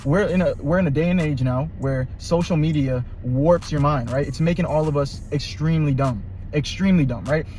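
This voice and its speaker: Music plays in the background and room echo is audible. A man talks fairly quickly in a fairly high pitch with ordinary pitch variation. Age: 20s. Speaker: youtuber giving life advice. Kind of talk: casual monologue. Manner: animated.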